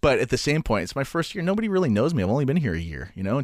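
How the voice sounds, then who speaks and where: A man's fairly high voice with vocal fry, a very fast pace and very wide pitch swings, in a dry, close, very clean recording over a silent background. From Canada. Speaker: stand-up comedian. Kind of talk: casual interview.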